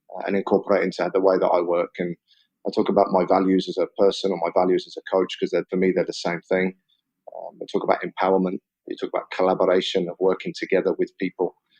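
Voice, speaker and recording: A man with a southern English accent at a very fast pace, dry and close with no echo. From England, Oxford. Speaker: football head coach. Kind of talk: interview.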